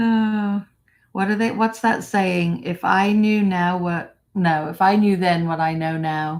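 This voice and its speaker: In an American accent, a woman speaks very slowly at a medium pitch. Her intonation is fairly even, and the recording is very clean with a silent background. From England. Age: 60s. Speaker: vlogger. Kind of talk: live stream chat. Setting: live stream.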